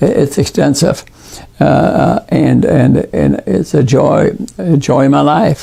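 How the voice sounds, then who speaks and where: A man speaks over noticeable background noise. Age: 80s+. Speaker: retired neurosurgeon and wellness author. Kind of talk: casual wellness talk to camera.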